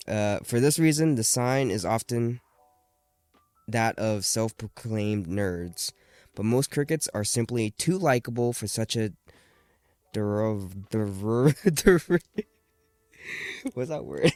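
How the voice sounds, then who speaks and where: Over music in the background, the speech moves at a very slow pace with long, frequent pauses and lively intonation. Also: man, medium pitch for a man, dry, close sound with no echo. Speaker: podcast co-host. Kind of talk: reading aloud. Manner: halting; stumbles over long words.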